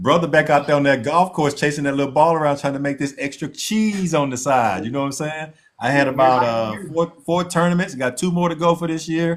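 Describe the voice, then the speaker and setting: A man talks at a moderate pace in a fairly high voice with ordinary pitch variation, an unremarkable speaking voice. The recording is very clean with a silent background. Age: 60s. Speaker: podcast co-host. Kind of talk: casual chat.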